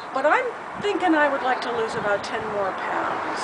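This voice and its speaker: Through noticeable background noise and audible room echo, a woman talks at a moderate pace. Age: 60s. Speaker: weight loss surgery patient. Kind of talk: casual interview.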